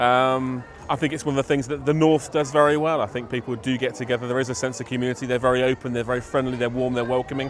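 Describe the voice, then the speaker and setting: The speech races along at a very fast pace with fairly even intonation. Noticeable background noise sits behind it. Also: man. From southern England. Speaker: street party organiser, DJ. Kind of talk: interview.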